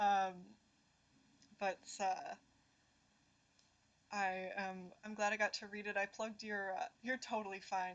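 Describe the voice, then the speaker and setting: The delivery is monotone with flat intonation, moving at a fairly slow pace and broken by long, frequent pauses. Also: woman, medium pitch for a woman. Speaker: poetry livestream host. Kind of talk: live stream chat with poetry reading. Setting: livestream. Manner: hesitant, many fillers and repeats.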